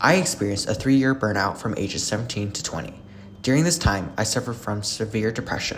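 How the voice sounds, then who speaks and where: Very fast speech with ordinary pitch variation, amid noticeable background noise. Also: man, fairly low pitch for a man. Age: 20s. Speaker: student video essayist. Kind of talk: scripted narration. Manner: animated.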